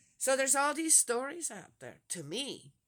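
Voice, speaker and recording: A woman with a high, bright, sharp tone projects her raised voice at a moderate pace, her intonation lively. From Switzerland. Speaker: religious vlogger. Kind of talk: casual monologue. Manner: halting.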